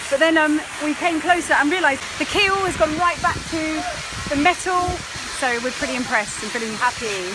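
A woman speaks fairly quickly in a raised, projected voice over noticeable background noise. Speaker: sailing vlogger. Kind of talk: casual vlog chat. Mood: cheerful, chatty.

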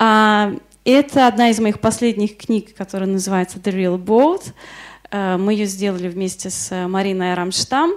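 A woman's unremarkable speaking voice at medium pitch, with ordinary pitch variation, a fairly slow pace and a quiet background. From Moscow, Russia. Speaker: illustrator and workshop lecturer. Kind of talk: lecture. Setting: workshop in front of an audience. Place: classroom. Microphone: handheld.

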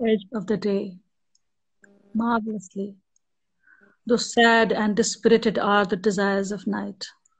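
A woman speaks at a fairly slow pace in a somewhat breathy voice. Her intonation stays fairly even. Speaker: poet. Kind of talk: poetry reading. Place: home room. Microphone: video call.

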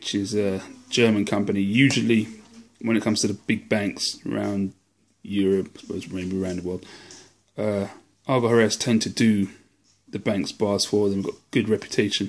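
In a British accent, a man speaks at a moderate pace with a fairly low pitch and monotone, flat intonation. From UK. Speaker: silver collector YouTuber. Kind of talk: show-and-tell video. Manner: casual, conversational.

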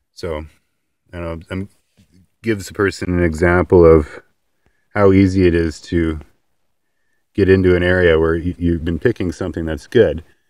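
Against a quiet background, a man with a very deep, low voice speaks at a moderate pace in a flat monotone, with long, frequent pauses and a dry sound with no echo. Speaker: homesteader. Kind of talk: casual outdoor instructional talk to camera. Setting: outdoors. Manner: halting, some stammering. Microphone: phone near.

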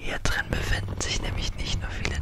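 This is a man's voice. He is whispering. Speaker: ASMR creator. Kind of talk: ASMR trigger video talk. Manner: whispered. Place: home room. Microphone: studio mic.

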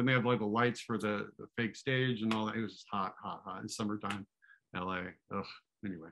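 Noticeable background noise sits under a man with an American accent, fairly low in pitch, who talks at a fairly quick pace in fairly even intonation. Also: big swings in loudness. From US Pacific Northwest, Seattle. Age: 50s. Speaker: actor. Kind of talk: casual chat. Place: home room. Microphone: video call.

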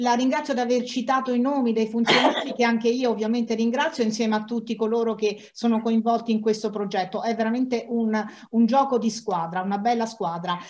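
A woman speaks at a fairly quick pace. Her pitch is fairly high and her intonation fairly even. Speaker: archive institution official, moderator. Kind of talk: formal conference moderation. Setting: online live-streamed event. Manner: halting. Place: office. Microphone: earbuds.

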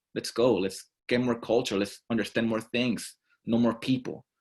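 This is a man speaking with a Mexican accent. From Mexico. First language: Spanish. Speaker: student leader. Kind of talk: testimony.

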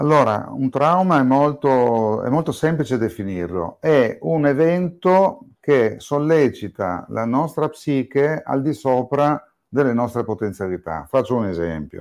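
A man speaks in a normal speaking voice at a medium pitch and a fairly slow pace, with lively intonation. The recording is very clean, with a silent background. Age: 60s. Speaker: psychiatrist and psychotherapist. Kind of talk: interview.

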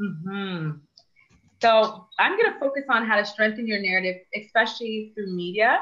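With a Canadian accent, a woman talks with ordinary pitch variation. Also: fairly high pitch for a woman. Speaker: public speaking coach and consultant. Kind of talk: webinar presentation. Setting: online webinar. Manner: fast talker.

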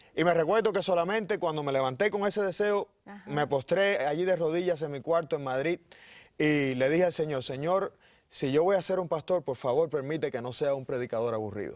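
A man's plain, everyday voice, a plain, everyday voice fairly high in pitch, with lively intonation and a fairly quick pace. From Cuba, Pinar del Río. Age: 30s. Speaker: pastor. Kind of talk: interview. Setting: studio.

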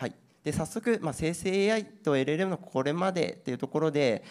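A man's fairly high voice at a moderate pace, with very wide pitch swings. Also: quiet background. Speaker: IT company presenter on generative AI trends. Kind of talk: seminar presentation and panel discussion. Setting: seminar hall with audience at an expo. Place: hall. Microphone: handheld.

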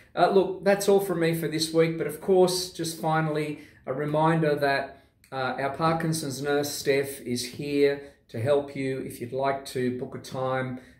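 A man at a fairly slow pace, his intonation fairly even, with audible room echo. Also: fairly high pitch for a man. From South America. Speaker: nonprofit organisation leader. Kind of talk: video update announcement. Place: office. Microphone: lapel.

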